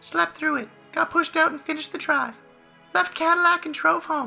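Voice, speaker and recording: A squeaky, high-pitched, put-on character voice delivers lines in a deadpan tone. Music plays in the background. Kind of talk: dramatic reading of internet posts. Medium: read story.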